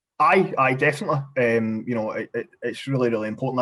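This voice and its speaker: A medium-pitched man with a Glaswegian accent and fairly even intonation. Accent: Glasgow accent, unmodified. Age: 20s. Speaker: parliamentary candidate. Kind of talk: podcast interview. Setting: video call. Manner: halting, many repetitions.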